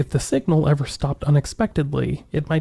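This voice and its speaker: This man's voice is fairly high in pitch, somewhat breathy and dark and mellow in tone. He talks fairly quickly with monotone, flat intonation. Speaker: podcast host. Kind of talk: mystery podcast narration.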